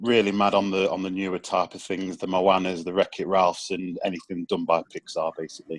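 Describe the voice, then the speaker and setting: Over a dry, close sound with no echo, a man with an East Midlands accent speaks at a fairly quick pace in a very deep, low pitch, his intonation monotone and flat, with hardly any pauses. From Nottingham, England. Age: 30s. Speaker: podcast panelist. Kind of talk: casual panel chat.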